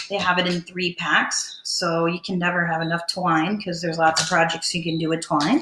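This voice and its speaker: A woman with a fairly low pitch speaks at a moderate pace in a monotone, flat intonation, with hardly any pauses and noticeable background noise. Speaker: DIY crafter. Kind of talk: tutorial. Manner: loud. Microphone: camera far from speaker.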